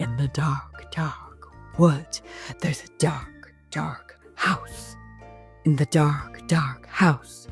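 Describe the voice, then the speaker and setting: A put-on character voice moves at a very slow pace, with faint music in the background. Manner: whispering.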